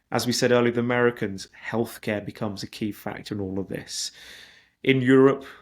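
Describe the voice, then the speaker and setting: A man with a British accent, medium pitch, fairly quick pace and fairly even intonation. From Britain. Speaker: investment migration consultant. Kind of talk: webinar presentation. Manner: hesitant with repetitions.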